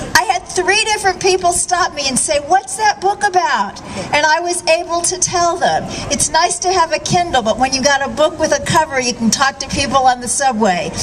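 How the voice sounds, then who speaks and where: Noticeable background noise runs under this woman's voice. Her pitch is extremely high and her intonation is lively. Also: moderate pace. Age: 60s. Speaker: vegan author and speaker. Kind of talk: rally speech.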